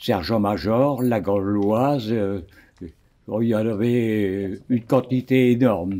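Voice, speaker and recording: At a very slow pace, a man speaks with very even loudness, a dark, mellow tone, fairly low pitch and ordinary pitch variation. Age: 90s. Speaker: retired factory worker. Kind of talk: interview testimony.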